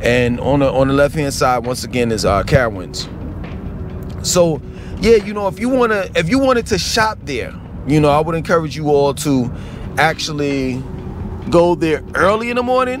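Over music in the background, a man speaks at a moderate pace with very wide pitch swings and long, frequent pauses, the sound dry with no echo. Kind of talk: casual vlog chat. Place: car. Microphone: phone near.

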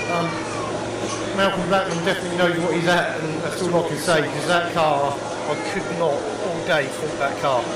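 A man talks at a moderate pace with audible room echo and clear music in the background. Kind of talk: interview answer. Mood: pleased, upbeat. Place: garage. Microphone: handheld.

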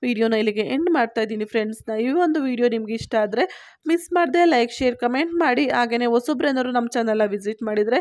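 A woman speaks at a high pitch with ordinary pitch variation. The recording is very clean, with a silent background. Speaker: YouTube health-tips presenter. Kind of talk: informational monologue.

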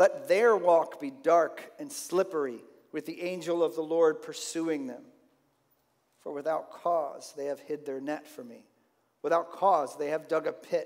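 A man's pitch moves up and down normally, with nothing else heard in the background. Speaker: pastor. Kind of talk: sermon. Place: church.

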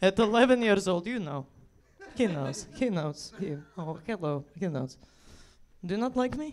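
A woman speaks at a moderate pace with light background noise behind her. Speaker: comedian. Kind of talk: stand-up comedy bit. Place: stage. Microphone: handheld.

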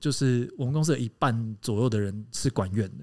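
A man talks at a fairly quick pace with a dark, mellow tone. The background is quiet. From Taiwan, Hakka family. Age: 30s. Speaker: podcast co-host and company founder; podcast co-host. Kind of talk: casual chat. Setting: live podcast recording before a small audience. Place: studio. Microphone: studio mic.

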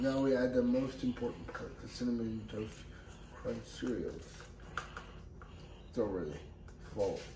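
A man talks at a fairly slow pace, leaving long, frequent pauses. Room echo is audible, and there is light background noise. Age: 20s. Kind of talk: casual cooking video talk to camera. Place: kitchen. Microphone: camera far.

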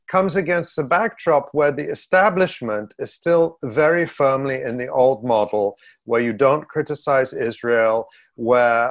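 In a quiet background, a man talks at a fairly slow pace. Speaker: political commentator. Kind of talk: interview answer. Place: home room. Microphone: webcam.

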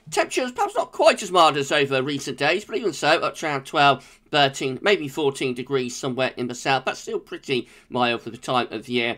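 This man talks at a fairly quick pace with hardly any pauses, in a British accent. His pitch is fairly high with ordinary variation, and his tone is bright, sharp and relaxed. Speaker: weather forecaster. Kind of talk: daily weather forecast video, informal solo delivery of technical meteorology. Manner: steady, matter-of-fact pacing with frequent 'uh' hesitations; relaxed, conversational, friendly tone.

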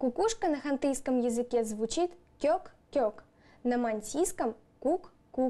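A woman's high-pitched voice carries a dark, mellow tone and lively intonation.

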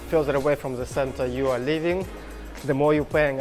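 With clear music in the background, a man speaks with fairly even intonation. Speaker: travel vlogger. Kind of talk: casual vlog chat. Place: station. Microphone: lapel.

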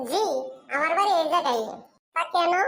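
A woman does a squeaky, cartoonish character voice. Her pitch is extremely high. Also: fairly quick pace, ordinary pitch variation.

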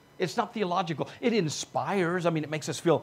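Fairly high-pitched and slightly husky at the edge, a man talks at a fairly quick pace with lively intonation.

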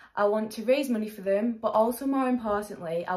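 A woman with an English accent talks at a fairly quick pace. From England. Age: 20s. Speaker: charity fundraiser vlogger. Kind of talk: vlog to camera. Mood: earnest, heartfelt. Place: home room. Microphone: phone near.

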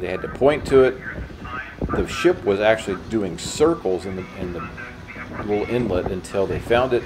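With noticeable background noise behind him, a man's fairly low voice proceeds at a moderate tempo, its pitch shifting in an ordinary way. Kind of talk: travel vlog narration.

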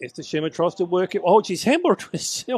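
A man speaks with an Australian accent at a fairly quick pace. The sound is dry and close with no echo, over a quiet background. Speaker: match commentator. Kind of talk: live commentary. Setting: Australian football match broadcast.

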